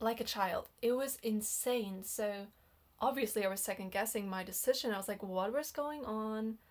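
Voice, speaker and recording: A woman with a non-native accent speaks fairly slowly at a fairly high pitch. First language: not English. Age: 20s. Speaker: dating and relationship vlogger. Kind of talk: personal storytelling monologue. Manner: casual, hesitant with fillers.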